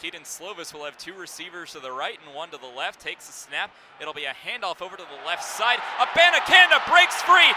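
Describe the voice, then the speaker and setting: A man's voice at a moderate pace, with lively intonation and noticeable background noise. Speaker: sports broadcaster, play-by-play announcer. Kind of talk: live radio football play-by-play.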